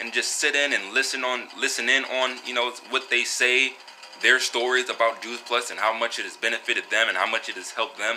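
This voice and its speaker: A man talks at a fairly quick pace and a medium pitch, in a monotone, flat way. Noticeable background noise is present. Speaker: vlogger and wellness product seller. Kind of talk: casual monologue vlog. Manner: halting, many fillers.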